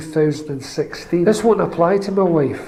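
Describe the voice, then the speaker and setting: A man with a Scottish accent and fairly even intonation, amid audible room echo and noticeable background noise. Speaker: pensioner. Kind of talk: testimony.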